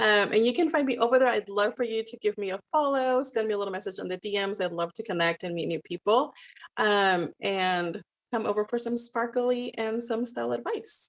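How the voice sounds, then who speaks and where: With a Spanish accent, a woman talks at a fairly quick pace and fairly high pitch in an energetic tone. Her pitch varies in an ordinary way, and the sound is dry and close with no echo over a quiet background. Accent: Spanish accent, noticeable. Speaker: style business owner, network marketer. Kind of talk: podcast interview.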